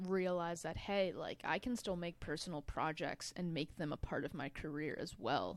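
This woman speaks at a moderate pace with a fairly low pitch. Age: 20s. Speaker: filmmaker and director. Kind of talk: casual chat. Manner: halting, many repeated words.

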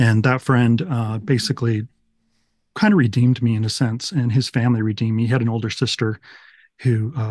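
With an American accent, a somewhat breathy man speaks at a medium pitch with fairly even intonation, the sound dry and close with no echo. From Utah and Texas, US. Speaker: recovery story guest. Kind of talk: testimony.

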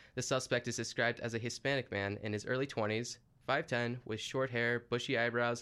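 In a very clean recording with a silent background, a normal speaking voice keeps a moderate pace. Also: man. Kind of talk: scripted local news bulletin read in a radio newscaster's style. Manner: formal, measured, steady newsreader delivery; brisk and matter-of-fact, reporting facts and police details.

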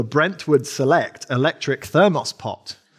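A man with an English accent talks at a moderate pace. His voice is fairly high, with lively intonation. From England. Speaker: preacher. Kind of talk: sermon. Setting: church.

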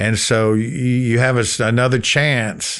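Against a quiet background, a man at medium pitch talks with a Southern US accent. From Florida Panhandle (Gulf Breeze, Pensacola). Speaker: musician and novelist. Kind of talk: casual interview. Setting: studio.

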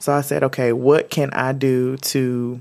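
Her voice sits very deep and low. The intonation is monotone and flat. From North Carolina, Winston-Salem. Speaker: lifestyle brand founder. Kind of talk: interview.

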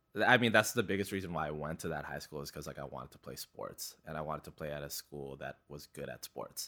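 A man speaks at a fairly quick pace with a very deep, low pitch, vocal fry and a bright, sharp tone. His loudness swings widely while his pitch varies in an ordinary way. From Canada, East Vancouver (from age five; born in Philippines). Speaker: photographer. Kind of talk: casual chat. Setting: studio.

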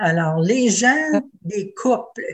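Lively intonation from a woman at a medium pitch, with noticeable background noise. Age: 80s+. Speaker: retiree, former president of seniors' federation. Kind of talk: panel discussion. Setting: video call.

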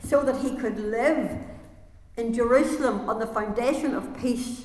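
Fairly slow and high-pitched, a woman speaks with fairly even intonation. Noticeable background noise is present. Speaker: preacher. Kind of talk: sermon. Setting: church.

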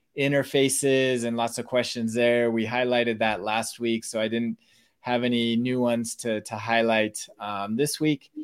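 A man has an unremarkable speaking voice at a medium pitch. He talks at a moderate pace with fairly even intonation. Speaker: podcast host. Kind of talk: live podcast discussion, casual. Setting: live online show.

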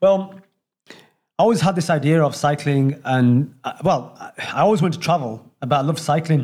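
Somewhat breathy and pitched fairly high, a man with a Yorkshire accent speaks at a moderate pace with ordinary pitch variation and long, frequent pauses. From Leeds, Yorkshire. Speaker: round-the-world cyclist. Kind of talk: casual interview. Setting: sitting on the floor at his home.

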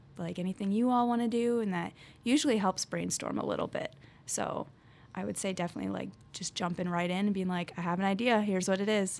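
Here a woman with an American accent speaks at medium pitch, with ordinary pitch variation. Hers is an unremarkable speaking voice. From northern Illinois, Chicago area. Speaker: college student. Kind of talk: casual interview.

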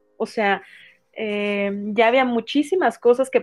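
A woman's normal speaking voice, fairly high in pitch, at a fairly slow pace with ordinary pitch variation and a quiet background. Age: 40s. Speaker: psychotherapist. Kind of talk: interview.

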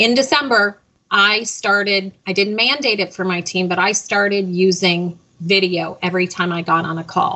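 With ordinary pitch variation, a woman talks at medium pitch in an unremarkable speaking voice. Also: moderate pace. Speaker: leadership consultant. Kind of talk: panel discussion.

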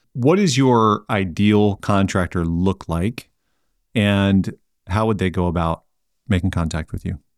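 In a very clean recording with a silent background and a dry, close sound with no echo, a man speaks in a plain, everyday voice at a fairly low pitch and fairly slow pace with ordinary pitch variation. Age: 40s. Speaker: podcast host. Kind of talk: casual interview.

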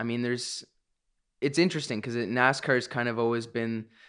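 A man with an ordinary speaking voice of medium pitch talks at a fairly quick pace against a quiet background. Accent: Canadian. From Canada, Ontario (Milton). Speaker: race car driver. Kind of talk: casual interview. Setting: home studio, dining room table.

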